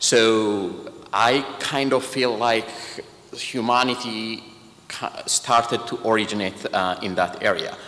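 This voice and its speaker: Noticeable background noise and audible room echo accompany a man at medium pitch. He speaks at a very slow pace with fairly even intonation. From Ethiopia. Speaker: patient advocate, organization president. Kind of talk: speech. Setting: church.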